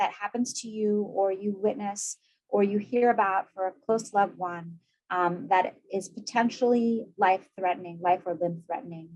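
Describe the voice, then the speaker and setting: The speaker is a woman. Her pitch is medium and varies in an ordinary way. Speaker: psychiatrist presenting webinar. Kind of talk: lecture; Q&A answer. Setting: video webinar. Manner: fast.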